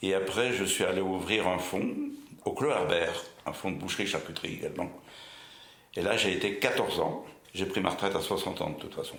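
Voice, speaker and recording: A man at a moderate pace, with audible echo from the room. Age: 80s+. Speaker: retired butcher. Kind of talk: oral history interview. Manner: hesitant, many fillers.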